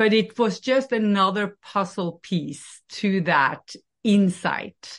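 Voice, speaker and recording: A woman with a Norwegian accent, medium pitch, ordinary pitch variation and a very slow pace. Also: very even loudness, quiet background. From Norway. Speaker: life coach. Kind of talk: interview.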